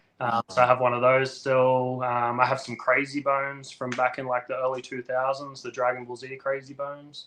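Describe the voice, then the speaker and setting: A man with an Australian accent at medium pitch, moderate pace, monotone flat intonation, big swings in loudness and hardly any pauses. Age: 30s. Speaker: toy collector and toy photographer. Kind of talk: casual interview chat. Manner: hesitant, many fillers.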